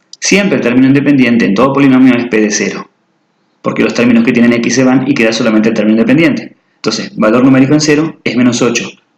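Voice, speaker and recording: A man speaks at a very fast pace, his voice at a medium pitch with ordinary pitch variation. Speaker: math teacher. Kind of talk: tutorial.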